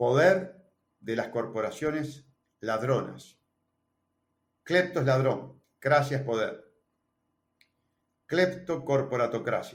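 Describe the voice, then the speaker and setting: A man with a Uruguayan accent talks very slowly in a fairly high, somewhat breathy voice. He takes long, frequent pauses, and his pitch variation is ordinary. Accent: Uruguayan Rioplatense Spanish. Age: 60s. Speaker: presidential candidate. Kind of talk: interview.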